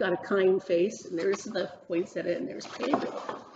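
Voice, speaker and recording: There's noticeable background noise as a woman speaks at a moderate pace and a medium pitch. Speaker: senior center book club reader. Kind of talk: children's story reading. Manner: casual storytelling, talking to the audience.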